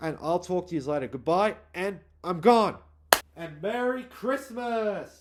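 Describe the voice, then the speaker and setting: A man with an Australian accent speaks fairly slowly in a high voice with lively intonation. Noticeable background noise runs underneath. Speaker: YouTuber. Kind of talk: casual vlog monologue.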